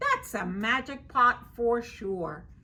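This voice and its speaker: A woman puts on a character voice. It is high in pitch. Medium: read story. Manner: eager, naive.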